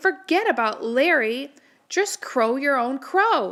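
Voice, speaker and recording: A put-on character voice at a fairly slow pace. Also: woman. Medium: read story. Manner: warm, motherly.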